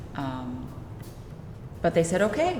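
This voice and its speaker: Audible room echo and noticeable background noise surround a woman talking at a moderate pace. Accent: General American. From USA. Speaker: paper artist. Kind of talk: interview. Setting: museum gallery.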